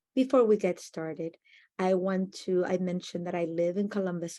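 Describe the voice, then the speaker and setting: Over a quiet background, a woman with a Spanish accent speaks at a medium pitch in a dark, mellow tone with ordinary pitch variation. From Argentina, Buenos Aires. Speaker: educator. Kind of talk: conference presentation.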